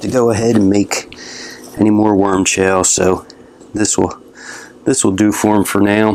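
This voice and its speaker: A man's fairly low voice at a fairly slow pace, with noticeable background noise. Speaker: gardening youtuber. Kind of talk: casual tutorial vlog. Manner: relaxed, casual.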